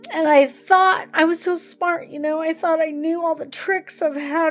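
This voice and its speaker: Music plays in the background as a woman speaks. Her pitch is extremely high and her pace fairly slow. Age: 60s. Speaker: retired psychologist. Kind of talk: personal testimony vlog.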